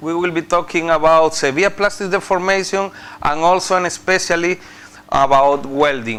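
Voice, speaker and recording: Against noticeable background noise, a man with a high voice speaks at a moderate pace with ordinary pitch variation. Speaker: visiting professor. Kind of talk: lecture. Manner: halting, many fillers.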